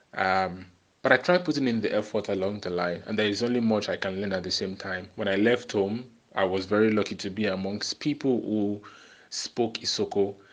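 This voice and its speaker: Against a quiet background, a man with a Nigerian accent speaks at a fairly quick pace in a fairly low pitch. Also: ordinary pitch variation. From Nigeria, Lagos. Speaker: podcast host. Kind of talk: monologue podcast. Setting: solo recording, no background music.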